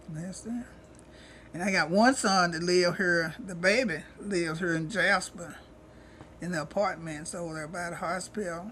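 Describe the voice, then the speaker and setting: With an East Texas accent, a woman speaks at a moderate pace in a fairly low, bright, sharp voice with ordinary pitch variation, big swings in loudness, long, frequent pauses, and audible room echo. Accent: rural East Texas Southern. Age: 70s. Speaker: retired cook, elderly interviewee. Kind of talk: interview, life story. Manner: casual, conversational.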